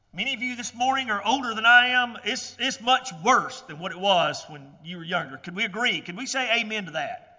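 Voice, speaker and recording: Over noticeable background noise, a man talks at a fairly quick pace in a high voice, with lively intonation and big swings in loudness. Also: hardly any pauses. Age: 50s. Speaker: preacher. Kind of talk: sermon. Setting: church.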